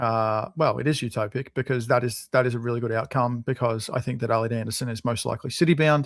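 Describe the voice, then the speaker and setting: In an Australian accent, a man talks at a very fast pace with hardly any pauses, his medium pitch and fairly even intonation captured on a very clean recording against a silent background. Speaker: football podcast co-host. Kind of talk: casual chat.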